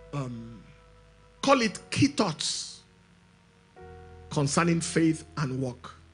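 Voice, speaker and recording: A man at a very slow pace, with faint music in the background. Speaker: preacher. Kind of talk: sermon. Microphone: handheld.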